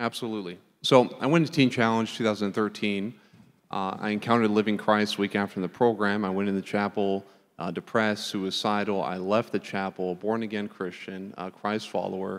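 An ordinary speaking voice from a man, fairly low in pitch, with fairly even intonation and a moderate pace, on a very clean recording with a silent background. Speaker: recovered addict. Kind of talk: testimony. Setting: church.

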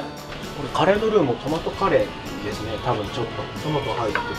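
Clear music plays behind a man who talks at a fairly quick pace with hardly any pauses. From Kochi, Japan. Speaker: voice actor. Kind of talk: casual outing video talk. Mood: cheerful, relaxed. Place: cafe.

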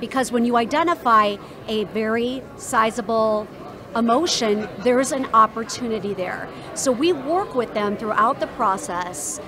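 Over noticeable background noise, a woman speaks at a fairly slow pace with ordinary pitch variation. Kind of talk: interview answer. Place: hall. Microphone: handheld.

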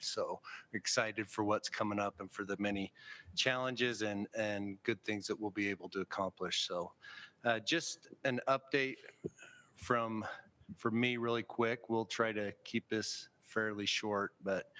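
Speaking at a fairly slow pace, a man uses a bright, sharp tone at a fairly low pitch with fairly even intonation. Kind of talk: formal meeting report. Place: meeting room.

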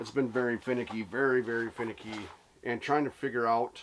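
The man talks at a moderate pace. Intonation stays fairly even throughout. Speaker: angler vlogger. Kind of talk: casual vlog chat. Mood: relaxed, reflective. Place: tent. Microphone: phone near.

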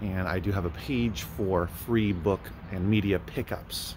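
Ordinary pitch variation over light background noise. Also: man. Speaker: book reseller. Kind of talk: casual vlog chat. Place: shop. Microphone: phone near.

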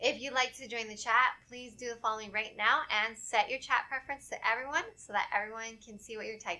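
A woman at a fairly quick pace, fairly even intonation, hardly any pauses. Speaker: webinar moderator. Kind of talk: formal announcements. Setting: video call. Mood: friendly, upbeat. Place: studio. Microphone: studio mic.

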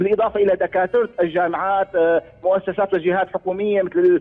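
The background is quiet. A man talks fairly quickly at a high pitch. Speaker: guest. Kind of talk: interview answer. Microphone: phone line.

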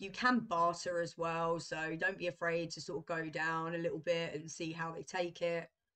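Against a quiet background, a woman with a fairly low pitch talks at a moderate pace in an ordinary speaking voice. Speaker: travel vlogger. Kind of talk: casual vlog chat. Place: home room. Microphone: webcam.

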